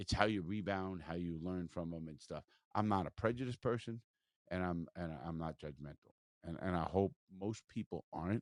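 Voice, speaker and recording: Recorded dry and close with no echo, a man with an American accent speaks in a very deep, low voice and an animated tone. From South Florida. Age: 60s. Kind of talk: casual interview chat. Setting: mobile studio. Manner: animated, profane.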